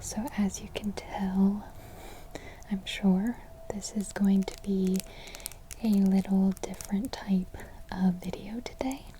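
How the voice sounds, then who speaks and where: Soft-spoken, a woman talks at a very slow pace with medium pitch and fairly even intonation. Noticeable background noise runs behind her. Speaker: ASMR creator. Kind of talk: ASMR talk to camera.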